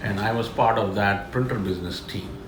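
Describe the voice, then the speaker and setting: A man's fairly low voice with an Indian accent and ordinary pitch variation, with audible room echo and noticeable background noise. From India, Delhi. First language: Telugu. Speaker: business executive. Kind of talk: interview.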